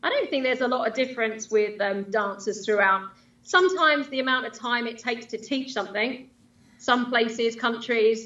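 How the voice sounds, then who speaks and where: A woman's fairly high-pitched voice in an English accent. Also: ordinary pitch variation. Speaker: line dance instructor and DJ. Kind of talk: casual interview chat. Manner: fast.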